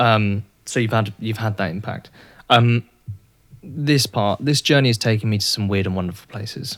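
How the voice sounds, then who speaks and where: This man speaks with an English accent at a moderate pace. His pitch is fairly low, with ordinary variation. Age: 20s. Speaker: podcast host. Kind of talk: casual interview.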